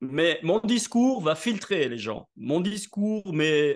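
A high-pitched man at a very slow pace with lively intonation, against a quiet background. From southern France (Nice). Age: 60s. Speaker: network marketing entrepreneur and speaker. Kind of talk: interview.

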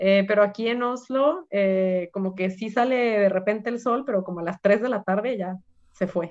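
At a moderate pace, a woman talks with medium pitch and ordinary pitch variation in a plain, everyday voice. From Mexico, Guadalajara. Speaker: community organization president. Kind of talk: interview.

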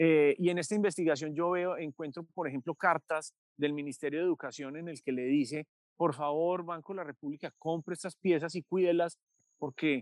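Delivered at a fairly brisk clip, the voice sounds dry and close, without any echo. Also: man. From Colombia, Medellín. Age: 30s. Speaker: journalist and author. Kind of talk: interview. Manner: frequent hesitations and repetitions.

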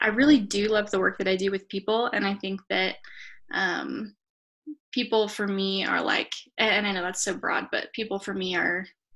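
A woman with an American accent and an ordinary speaking voice, medium pitch, ordinary pitch variation and moderate pace, over a quiet background. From US West (northern Colorado). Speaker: photographer and writer. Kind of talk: interview.

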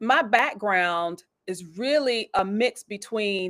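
This woman has an ordinary speaking voice. Her pitch is fairly high, with ordinary pitch variation. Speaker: church elder and executive. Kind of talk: casual interview conversation about church and business. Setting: online live video show.

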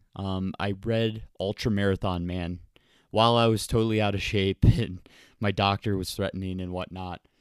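An unremarkable speaking voice from a man with an American accent, fairly low pitch, fairly even intonation and moderate pace, in a dry, close sound with no echo on a very clean recording with a silent background. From US Midwest (Ohio, Michigan, Wisconsin), later Florida. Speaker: ultramarathon runner and author. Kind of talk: recorded personal story answering emailed questions.

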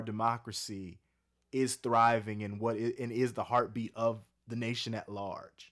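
A man's medium-pitched, normal speaking voice at a moderate pace, on a very clean recording with a silent background. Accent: American. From US coast, not the South. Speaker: professor. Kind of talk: casual chat.

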